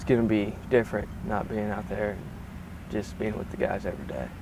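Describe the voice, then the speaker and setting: A man's fairly low-pitched voice at a moderate pace, over noticeable background noise. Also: ordinary pitch variation. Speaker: student news and sports anchor. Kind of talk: news package voiceover.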